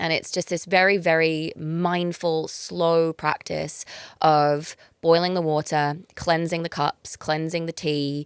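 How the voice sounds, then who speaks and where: In a dry, close sound with no echo, a woman with a fairly low pitch speaks at a very slow pace in a monotone, flat intonation. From England. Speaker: breathwork facilitator. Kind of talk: casual chat. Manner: hesitant, with many fillers.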